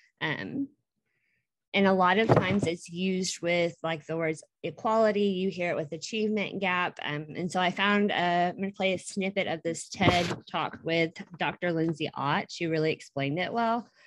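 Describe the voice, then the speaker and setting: Her pitch fairly low with ordinary variation, a woman talks at a moderate pace. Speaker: student presenter. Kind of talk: presentation.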